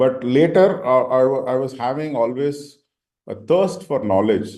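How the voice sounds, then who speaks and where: There is audible room echo around this man's dark, mellow voice. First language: Tamil. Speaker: senior leader, panelist. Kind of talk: panel discussion. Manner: halting, many fillers.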